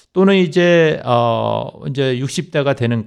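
This man speaks with lively intonation. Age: 60s. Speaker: accountant. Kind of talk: radio interview. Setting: radio studio. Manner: hesitant, many fillers.

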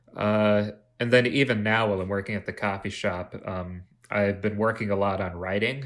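Using a normal speaking voice, a man talks at a moderate pace with a fairly low pitch and fairly even intonation. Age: 20s. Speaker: college dropout, coffee shop worker. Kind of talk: casual chat.

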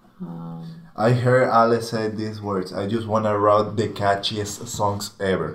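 Over noticeable background noise, a man speaks fairly slowly with fairly even intonation. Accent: Spanish. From Venezuela. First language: Spanish. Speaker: touring guitarist and video producer. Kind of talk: casual interview chat.

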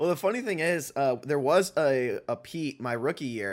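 A man with an unremarkable speaking voice, fairly high in pitch, at a moderate pace. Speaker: podcast host. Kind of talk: casual chat. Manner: joking.

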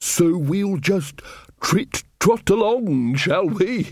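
Using a put-on character voice, a man speaks very slowly at a high pitch. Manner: nervously polite.

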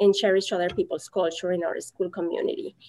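The speaker is a woman. She talks with a Mexican accent. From Mexico. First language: Spanish. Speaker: Spanish teacher. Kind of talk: casual interview.

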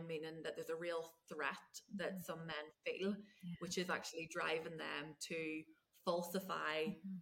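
Speaking at a moderate pace with a Scottish accent, a woman's fairly low voice carries a bright, sharp tone and monotone, flat intonation. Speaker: podcast host.

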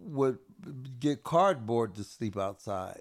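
A man with an American accent speaks at a very slow pace with lively intonation. The recording is very clean, with a silent background. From South Central Los Angeles. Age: 70s. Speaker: street outreach worker. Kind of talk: casual interview.

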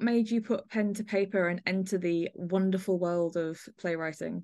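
A woman with a normal speaking voice and medium pitch talks at a moderate pace with ordinary pitch variation against a quiet background. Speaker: podcast host. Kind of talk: casual chat.

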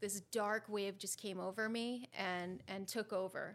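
An unremarkable speaking voice from a woman with an American accent, medium pitch, fairly even intonation and a fairly slow pace. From Connecticut, US. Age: 30s. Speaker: guest sharing recovery story. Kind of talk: personal interview, testimony.

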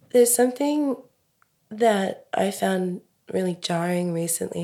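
The voice carries an Australian accent and a dark, mellow tone, moving at a fairly slow pace. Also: woman. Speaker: podcast host. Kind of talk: casual interview.

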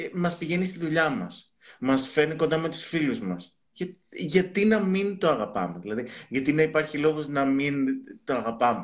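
A man with an ordinary speaking voice at a fairly high pitch, using lively intonation at a moderate pace. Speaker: psychotherapist. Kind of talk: casual chat.

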